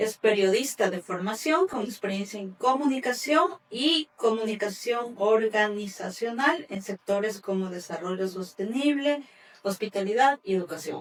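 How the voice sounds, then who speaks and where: With hardly any pauses, a woman with a fairly high pitch and lively intonation speaks at a fairly slow pace over noticeable background noise. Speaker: podcast host. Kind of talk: podcast interview hosting.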